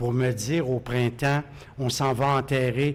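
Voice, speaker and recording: The speaker has a Quebec accent and a very slow pace. The intonation is fairly even. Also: man. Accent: Québécois French. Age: 70s. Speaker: radio host. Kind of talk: interview.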